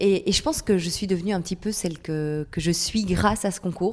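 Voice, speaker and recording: Using a plain, everyday voice, a woman of medium pitch talks at a moderate pace with fairly even intonation. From Belgium, Charleroi (Wallonia). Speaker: TV presenter and weather presenter. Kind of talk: casual podcast interview.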